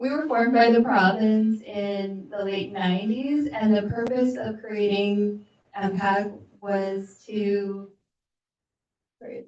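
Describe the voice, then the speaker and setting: A soft-spoken woman talks at a very slow pace with a medium pitch. Her intonation stays fairly even. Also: big swings in loudness. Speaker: municipal assessment liaison. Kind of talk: presentation to council.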